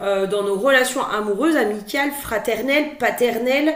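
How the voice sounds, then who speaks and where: Noticeable background noise mixes with audible room echo in this clip. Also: woman. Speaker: spiritual guidance card reader. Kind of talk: tarot guidance monologue. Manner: hesitant, many filler words and repetitions; loud.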